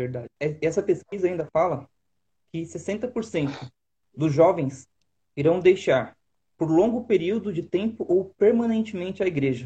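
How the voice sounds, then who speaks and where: With long, frequent pauses, a man speaks at a fairly slow pace in a high pitch with lively intonation. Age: 30s. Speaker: youth leader. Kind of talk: casual chat.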